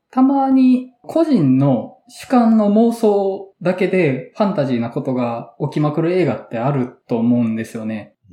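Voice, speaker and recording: A man with a Kansai accent and a high pitch, at a fairly slow pace with hardly any pauses and very wide pitch swings. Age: 30s. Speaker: podcast host and moderator. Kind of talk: casual chat.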